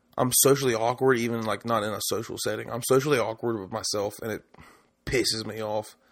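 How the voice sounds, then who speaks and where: Medium pitch marks this man's voice. His intonation stays fairly even. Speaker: solo podcaster. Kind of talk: casual solo monologue. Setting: alone at home. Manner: fast; rambling, hesitant.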